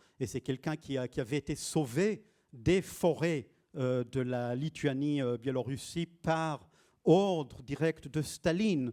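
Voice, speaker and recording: A man with fairly high pitch and a dark, mellow tone speaks at a very slow pace with ordinary pitch variation, the recording very clean and silent, dry and close with no echo. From Israel. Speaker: poet and translator. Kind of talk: public interview. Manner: halting, many hesitations.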